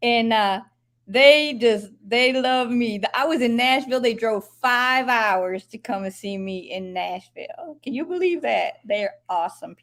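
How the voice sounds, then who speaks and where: A woman with an American accent talks at a high pitch and a fairly slow pace. Her intonation is lively, and her loudness swings widely. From Upstate New York. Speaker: gospel singer. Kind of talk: interview.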